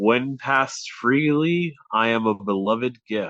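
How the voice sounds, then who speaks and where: This put-on character voice booms out at a fairly slow pace with ordinary pitch variation. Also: man, medium pitch for a man. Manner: theatrical, deep.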